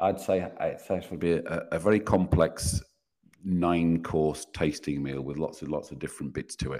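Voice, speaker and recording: The voice has a dark, mellow tone with vocal fry, fairly even intonation and a moderate pace. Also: man, very deep, low pitch for a man. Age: 50s. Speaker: business mentor. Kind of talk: casual interview.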